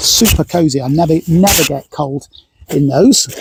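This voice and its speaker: Speaking with a British accent, a man uses a fairly high pitch with ordinary pitch variation at a fairly slow pace, in a dry, close sound with no echo. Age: 60s. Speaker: hiker vlogger. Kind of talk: kit review tutorial. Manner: hesitant, many fillers; casual.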